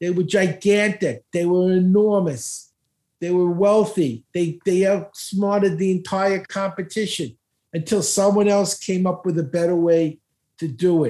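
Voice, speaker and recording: A man with an American accent speaks at a high pitch in a dark, mellow tone with ordinary pitch variation. The recording is very clean, with a silent background. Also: fairly slow pace. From Brooklyn, New York. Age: 70s. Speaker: speed reading expert. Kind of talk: casual interview talk.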